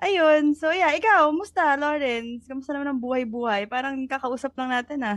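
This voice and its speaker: A woman speaks at a fairly quick pace with hardly any pauses, her pitch high and her pitch variation ordinary. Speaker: podcast co-host. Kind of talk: casual chat.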